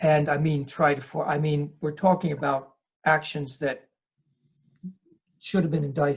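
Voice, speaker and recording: A man with an American accent speaks at a moderate pace in a fairly high, somewhat breathy voice, with monotone, flat intonation and long, frequent pauses. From US Northeast, southern New Jersey. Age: 60s. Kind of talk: interview. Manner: halting.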